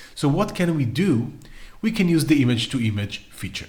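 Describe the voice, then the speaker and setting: Lively intonation marks this man's somewhat breathy voice, delivered at a moderate pace. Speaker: AI art tutorial creator. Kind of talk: tutorial.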